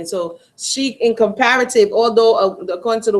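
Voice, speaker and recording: This woman has a normal speaking voice, fairly high in pitch, and talks at a moderate pace with ordinary pitch variation. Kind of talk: casual talk to camera, commentary. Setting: online livestream hangout.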